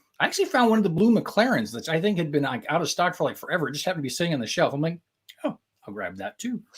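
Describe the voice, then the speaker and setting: The speaker has a Midwestern accent and an animated tone. The delivery moves at a very fast pace. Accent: Midwestern accent (self-noted). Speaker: LEGO fan show host. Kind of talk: casual live-stream chat.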